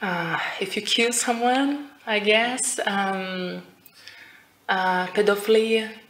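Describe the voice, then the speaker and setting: A very slow woman's voice amid clear background noise and audible room echo. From Brazil. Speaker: IELTS speaking test candidate. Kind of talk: speaking exam interview. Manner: halting, many fillers.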